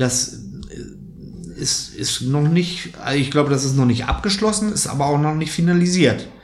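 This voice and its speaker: Amid noticeable background noise and audible room echo, a man with a fairly high voice speaks with lively intonation and long, frequent pauses. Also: moderate pace. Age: 40s. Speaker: football fan podcast host. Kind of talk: casual chat.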